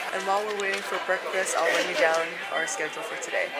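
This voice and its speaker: Crowd noise fills the background as a woman speaks. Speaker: college fencer vlogger. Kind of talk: casual vlog chat. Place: cafe. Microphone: phone near.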